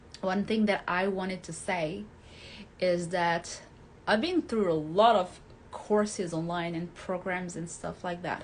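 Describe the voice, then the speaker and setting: A woman talks at a fairly slow pace with a medium pitch. Her intonation stays fairly even. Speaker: hypnotherapist and life coach. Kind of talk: talking-head video with course pitch. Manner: pauses to find words.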